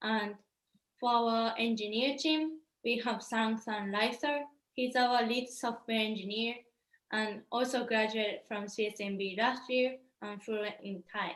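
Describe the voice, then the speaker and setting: A woman with a Japanese accent speaks at a fairly high pitch with fairly even intonation. She leaves long, frequent pauses. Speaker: startup founder. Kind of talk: startup pitch presentation.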